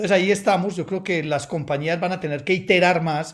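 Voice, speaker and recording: A high-pitched man's voice with ordinary pitch variation on a very clean recording with a silent background. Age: 50s. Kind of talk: interview.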